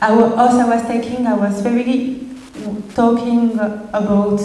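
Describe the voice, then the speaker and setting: A woman's fairly high voice with a French accent at a very slow pace, with noticeable background noise and audible room echo. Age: 20s. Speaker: designer and artist. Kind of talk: presentation. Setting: stage with audience. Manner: halting.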